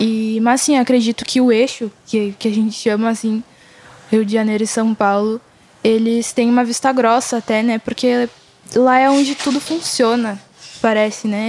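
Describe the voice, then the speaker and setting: A woman with a fairly high voice talks in a flat, monotone way. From Rio Grande do Sul, Brazil. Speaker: singer-songwriter and slam poet. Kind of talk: casual interview.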